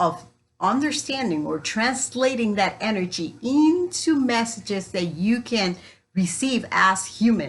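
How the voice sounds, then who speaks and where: With a Spanish accent, a woman speaks at a fairly slow pace in a somewhat breathy, medium-pitched voice that makes very wide pitch swings. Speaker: spiritual coach. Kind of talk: spiritual teaching talk.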